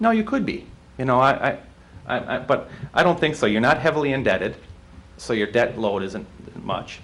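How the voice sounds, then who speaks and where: There is audible room echo as a man with a slight Wisconsin accent talks at a moderate pace. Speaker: utility rate consultant. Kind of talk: presentation to city council. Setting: city council meeting. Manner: halting, many fillers and restarts.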